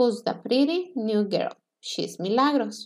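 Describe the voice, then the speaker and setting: The background is quiet. A woman with a fairly high pitch speaks with lively intonation. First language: Spanish. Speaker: English teacher. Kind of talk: lecture. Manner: slow. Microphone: webcam.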